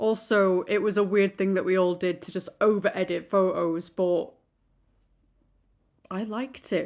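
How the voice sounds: A woman's slightly mellow voice, fairly slow and fairly even in intonation, on a very clean recording with a silent background. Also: medium pitch for a woman.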